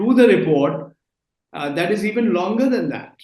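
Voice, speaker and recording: Here a man talks at a moderate pace. His voice sits high in pitch. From India. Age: 60s. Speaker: journalist. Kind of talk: interview.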